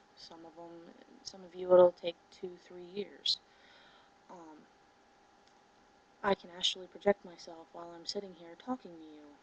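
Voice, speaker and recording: Soft-spoken and fairly low in pitch, a woman talks at a moderate pace in a monotone, flat intonation over noticeable background noise. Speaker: spiritual teacher and video blogger. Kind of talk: casual monologue to camera. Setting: at home, 4 a.m. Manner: soft-spoken, low volume; hesitant with many fillers.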